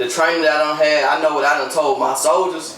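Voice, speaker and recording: A man with an American accent at a fairly high pitch, amid audible room echo and noticeable background noise. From US South, Augusta, Georgia and Mississippi. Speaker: soldier. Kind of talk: casual chat.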